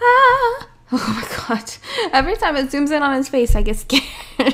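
Noticeable noise fills the background. The pace of talking is moderate. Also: woman. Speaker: gaming video creator playing an indie game. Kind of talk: casual, with swearing. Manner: casual, chatty, self-deprecating.

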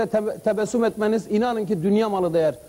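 Here a man talks with a high pitch. His pitch variation is ordinary. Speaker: TV show host. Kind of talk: casual comedic banter on a show. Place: studio.

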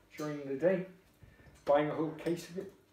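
There is audible room echo as a man talks at a fairly quick pace with ordinary pitch variation. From northern England, Tyneside; northern England. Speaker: beer reviewer vlogger. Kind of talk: casual product review. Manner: chatty, informal. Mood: relaxed, jovial. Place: kitchen. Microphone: camera far.

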